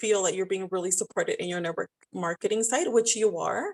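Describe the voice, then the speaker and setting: Speaking with a Spanish accent, a woman sounds energetic, with lively intonation and a fairly quick pace, in a dry, close recording with no echo. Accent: Spanish accent, noticeable. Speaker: style business owner, network marketer. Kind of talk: podcast interview.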